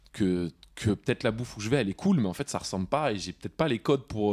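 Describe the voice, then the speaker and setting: In a very clean recording with a silent background and a dry, close sound with no echo, a man speaks with lively intonation at a fairly low pitch. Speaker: podcast host. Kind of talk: casual chat. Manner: halting.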